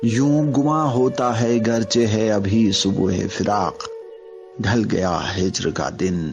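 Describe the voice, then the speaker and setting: Over music in the background, a man talks at medium pitch with very even loudness and ordinary pitch variation. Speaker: radio jockey, poetry reciter. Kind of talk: poetry reading.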